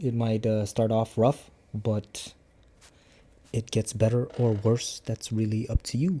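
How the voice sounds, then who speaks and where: A man's dark, mellow, medium-pitched voice at a fairly slow pace. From Cambodian background, English learned by age nine. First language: Khmer. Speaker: martial arts instructor and vlogger. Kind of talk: casual vlog talk to camera. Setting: talking to a camera. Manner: halting, with many fillers.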